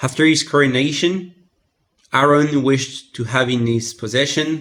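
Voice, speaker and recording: At a fairly slow pace, a man talks with a French accent. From France. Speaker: content creator. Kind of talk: reading aloud.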